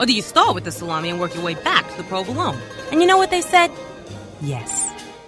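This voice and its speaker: A woman at a very fast pace over clear music in the background. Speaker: voice-over talent. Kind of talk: commercial read. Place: studio. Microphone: studio mic.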